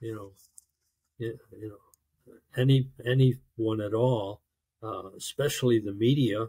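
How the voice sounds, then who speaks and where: A man with an American accent speaks at a fairly slow pace and medium pitch, his tone dark, mellow and somewhat breathy. His intonation is fairly even, with long, frequent pauses and big swings in loudness. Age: 70s. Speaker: navy veteran. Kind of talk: interview testimony. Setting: video call.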